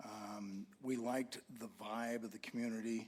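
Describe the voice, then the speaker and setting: A man speaks with an American accent at a medium pitch. His intonation is fairly even. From Idaho. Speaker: resident giving public comment. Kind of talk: public comment. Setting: council meeting.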